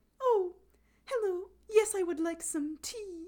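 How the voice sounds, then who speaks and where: In a put-on character voice, a female-sounding speaker talks fairly slowly at an extremely high pitch. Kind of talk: refined, affected, upper-class. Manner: mocking.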